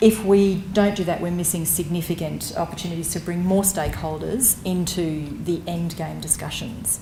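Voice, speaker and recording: A woman with an Australian accent and a fairly low pitch talks at a moderate pace with hardly any pauses, over noticeable background noise. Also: fairly even intonation. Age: 40s. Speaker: public health advocate. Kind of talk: conference talk. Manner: hesitant, with fillers.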